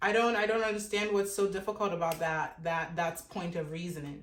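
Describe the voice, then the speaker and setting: A woman's medium-pitched voice in an African accent, with audible room echo. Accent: African accent, a little off. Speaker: dating commentator. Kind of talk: opinion monologue. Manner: emphatic, repetitive.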